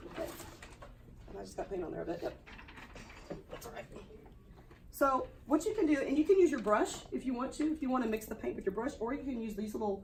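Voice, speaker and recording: A woman talks at a very fast pace and high pitch, with very wide pitch swings, big swings in loudness, and long, frequent pauses. Audible room echo and noticeable background noise fill the recording. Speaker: art teacher. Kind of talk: classroom demonstration. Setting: classroom. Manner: casual.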